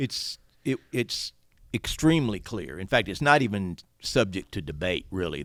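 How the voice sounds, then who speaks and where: The man has an unremarkable speaking voice, fairly low in pitch, moving at a fairly quick pace. The recording is very clean with a silent background and a dry, close sound with no echo. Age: 60s. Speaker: attorney and writer. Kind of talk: podcast interview.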